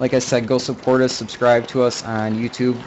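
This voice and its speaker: A man talks over noticeable background noise. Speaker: gaming streamer. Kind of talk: let's play commentary. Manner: laid back.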